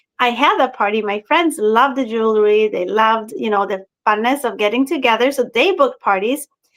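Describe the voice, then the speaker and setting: Speaking in a Swedish accent, a woman talks at a moderate pace and high pitch with ordinary pitch variation. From Sweden. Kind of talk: interview.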